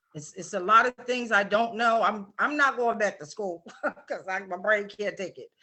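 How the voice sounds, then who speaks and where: A woman with an American accent and a normal speaking voice, fairly high in pitch, at a moderate pace, with ordinary pitch variation and big swings in loudness. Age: 60s. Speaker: author. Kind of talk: live show interview. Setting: live online video stream.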